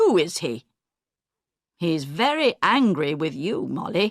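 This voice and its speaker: A growling, put-on character voice that sounds female comes at a middle pitch and a fairly slow pace. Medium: read story. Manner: fussy, talkative.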